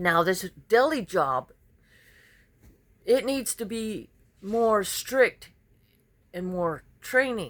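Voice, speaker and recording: A woman's animated voice in an American accent, with very wide pitch swings, on a very clean recording with a silent background. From Southern California. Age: 50s. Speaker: vlogger, truck driver and deli worker. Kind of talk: personal vlog monologue, venting. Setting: handheld camera selfie recording. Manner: animated, venting.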